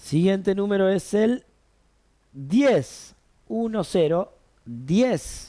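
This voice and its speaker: A man's upbeat, very slow delivery with long, frequent pauses, over a quiet background. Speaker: bingo caller and host. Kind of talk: live bingo calling, announcing numbers and prizes. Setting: live broadcast event with a director. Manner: brisk, clear, repeating each number three times; upbeat, lively, formal-friendly. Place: studio.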